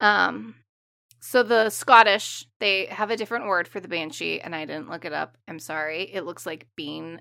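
Over a silent background in a very clean recording, a woman with a fairly low pitch, a bright, sharp tone and vocal fry talks at a moderate pace, her intonation lively and her loudness swinging widely. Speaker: podcast co-host. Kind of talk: horror folklore narration, read aloud. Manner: dramatic reading with character voices, solemn.

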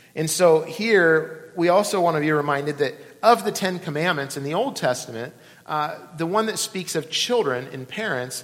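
A man speaks at a moderate pace with a fairly high pitch and ordinary pitch variation. There is noticeable background noise and audible room echo. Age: 40s. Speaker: pastor. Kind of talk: sermon.

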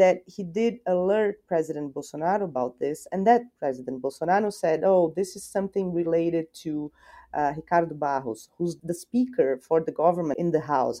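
A woman speaks with a Portuguese accent at a moderate pace. Her pitch is fairly low. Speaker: journalist and columnist. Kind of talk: interview discussion.

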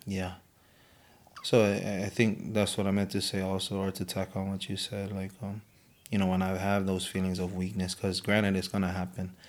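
Speaking in a Hawaiian accent, a man with a very deep, low pitch keeps a moderate pace and a monotone, flat intonation. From Hawaii, Oahu (Samoan). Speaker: guest sharing faith testimony. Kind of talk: testimony. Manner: halting.

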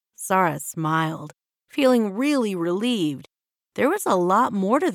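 The speaker has a natural reading voice with lively intonation. The background is quiet.

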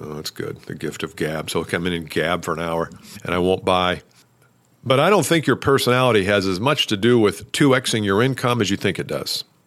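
Lively intonation marks this man's fairly low voice at a fairly quick pace. The recording is very clean, with a silent background. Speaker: sales coach podcaster. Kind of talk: solo podcast talk. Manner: loud, not well modulated.

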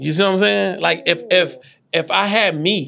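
A man at a moderate pace with lively intonation. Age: 40s. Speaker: podcast host and business coach. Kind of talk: casual interview chat. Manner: animated.

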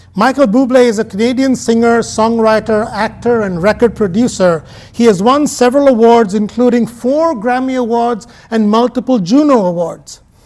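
Amid noticeable background noise, a man with an extremely high pitch speaks at a moderate pace. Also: ordinary pitch variation. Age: 40s. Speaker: pastor. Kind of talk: sermon.

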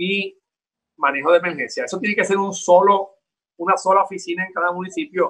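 The speaker is a man with a high pitch. He goes at a moderate pace in a bright, sharp tone. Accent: Puerto Rican. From Puerto Rico. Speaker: town mayor. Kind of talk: interview.

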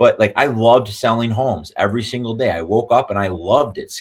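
An ordinary speaking voice moves at a fairly quick pace with ordinary pitch variation, on a very clean recording with a silent background. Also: man. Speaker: real estate brokerage owner. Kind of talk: casual interview.

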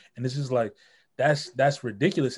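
A somewhat breathy male voice on a very clean recording with a silent background. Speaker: podcast co-host. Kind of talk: casual chat.

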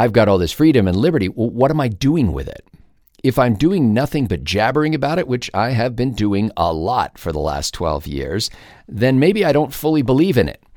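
On a very clean recording with a silent background, a man with an American accent and vocal fry talks fairly quickly at a medium pitch, his voice making very wide pitch swings. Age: 50s. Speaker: podcast host and talk show commentator. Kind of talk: solo monologue podcast.

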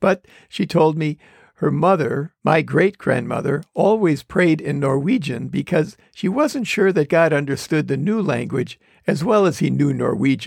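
This man has a fairly high pitch, an American accent, and vocal fry. He talks at a fairly slow pace, and the sound is dry and close with no echo. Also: ordinary pitch variation. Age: 70s. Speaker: pastor and podcast host. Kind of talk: sermon-like devotional talk, with scripture reading.

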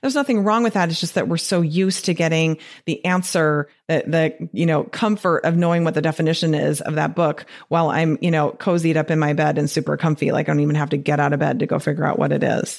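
A woman with a Detroit accent talks very fast in a very deep, low voice, with hardly any pauses and an animated tone. Her loudness stays very even, her pitch varies in an ordinary way, and the recording is very clean with a silent background. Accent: Detroit-area Midwestern. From US Midwest, Detroit area. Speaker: physician and weight loss coach podcast host. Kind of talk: solo podcast talk. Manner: animated, frequent laughter.

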